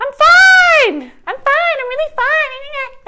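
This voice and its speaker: In a put-on character voice, someone speaks very slowly at an extremely high, squeaky pitch. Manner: tense, forced reassurance.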